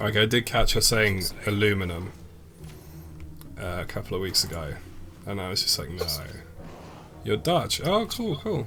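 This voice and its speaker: A man with a British accent, fairly low pitch, a moderate pace, lively intonation, and long, frequent pauses. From England. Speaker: gaming streamer. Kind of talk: casual chat. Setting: live stream. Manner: casual, filler-heavy.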